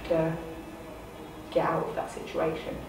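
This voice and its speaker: The speech moves at a fairly quick pace. Audible room echo and noticeable background noise accompany it. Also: woman. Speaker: youth commission member. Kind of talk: personal testimony to camera. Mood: serious, composed, personal account. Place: meeting room.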